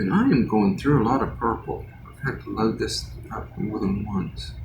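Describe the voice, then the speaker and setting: Audible room echo and noticeable background noise behind a man speaking at a moderate speed. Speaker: art livestreamer. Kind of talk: casual chat while painting. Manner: halting.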